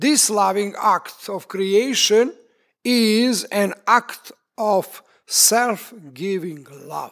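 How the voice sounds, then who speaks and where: A very slow delivery in a Serbian accent, with ordinary pitch variation. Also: man, high pitch for a man. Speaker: preacher. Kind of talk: sermon. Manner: halting.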